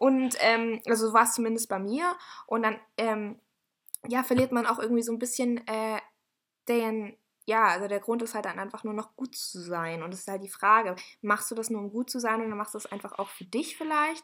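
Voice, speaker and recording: A woman speaks at a moderate pace in a fairly high voice with a bright, sharp tone. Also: ordinary pitch variation, big swings in loudness. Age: 20s. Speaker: podcast co-host. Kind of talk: casual chat.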